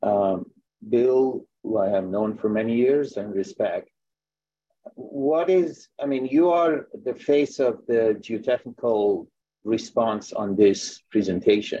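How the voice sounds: Slow and fairly low for a man, his voice has a dark, mellow tone, a slightly husky edge and ordinary pitch variation.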